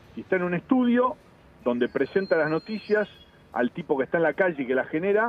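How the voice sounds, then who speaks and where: A man's high-pitched voice with very wide pitch swings, at a fairly quick pace over noticeable background noise. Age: 50s. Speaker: TV foreign correspondent. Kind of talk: interview. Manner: formal journalistic tone.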